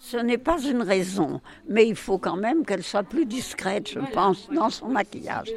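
A woman speaks with lively intonation and a fairly high pitch. Noticeable background noise runs underneath. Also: moderate pace. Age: 90s. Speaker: care home resident. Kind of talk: interview.

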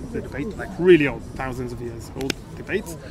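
Noticeable background noise sits behind a man speaking at a fairly quick pace with ordinary pitch variation. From Israel. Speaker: backpacker. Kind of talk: casual interview. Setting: hostel. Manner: halting.

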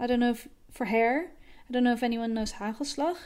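A woman with a Dutch accent, high pitch and fairly even intonation, in a very clean recording with a silent background. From Netherlands. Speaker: animation director. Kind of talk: voice message monologue. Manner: hesitant with fillers.

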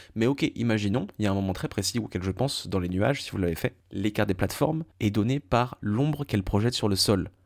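On a very clean recording with a silent background, a man with a plain, everyday voice talks at a fairly quick pace with hardly any pauses, his fairly low pitch showing ordinary variation. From France. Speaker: video game podcaster. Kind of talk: solo monologue. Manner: casual, informal.

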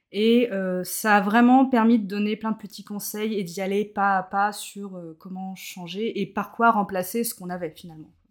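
A woman with a normal speaking voice talks at a moderate pace and medium pitch, her intonation fairly even but her loudness swinging widely. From Brittany, France (Morbihan, near Carnac). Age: 30s. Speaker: zero-waste practitioner. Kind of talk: casual interview.

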